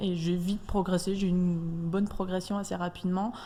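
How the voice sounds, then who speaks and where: This is a woman's voice. Her pitch is fairly low. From eastern France (Franche-Comté). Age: 30s. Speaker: athlete. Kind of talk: radio interview. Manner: hesitant.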